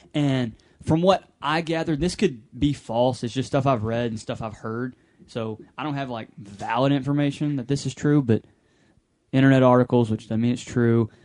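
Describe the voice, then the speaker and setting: At medium pitch and a moderate pace, a man talks in an animated tone with ordinary pitch variation. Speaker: podcast co-host. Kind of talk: casual chat.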